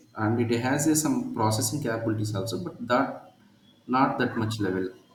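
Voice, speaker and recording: The speech runs at a fairly quick pace with ordinary pitch variation. Audible room echo and noticeable background noise surround it. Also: man, medium pitch for a man. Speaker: IT trainer. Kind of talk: live Q&A in an online training demo.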